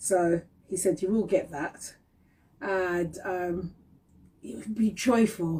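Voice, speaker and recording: A woman's somewhat breathy, medium-pitched voice at a very slow pace, with ordinary pitch variation and long, frequent pauses. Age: 50s. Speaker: talk show host. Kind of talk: casual live-stream chat. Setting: Instagram live stream. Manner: animated.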